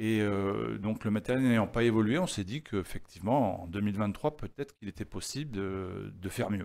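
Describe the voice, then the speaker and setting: This man talks at a moderate pace with hardly any pauses. His pitch is fairly low, with ordinary variation. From southern France (Var, Toulon area); southern France. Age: 50s. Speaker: chessboard maker; guest. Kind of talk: interview. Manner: hesitant, many fillers and repetitions. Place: studio. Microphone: studio mic.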